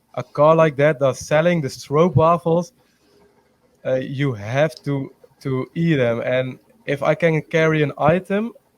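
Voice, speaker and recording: A man speaks at a fairly slow pace. His pitch is fairly high, with ordinary variation. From Netherlands. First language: Dutch. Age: 20s. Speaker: pageant contestant. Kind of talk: interview. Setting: video call. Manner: halting, many fillers.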